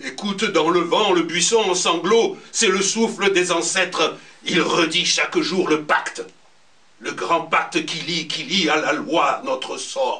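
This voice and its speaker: A man's raised, projected voice at a high pitch with ordinary pitch variation, at a very slow pace over noticeable background noise. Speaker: storyteller. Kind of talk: poetry reading at a slam.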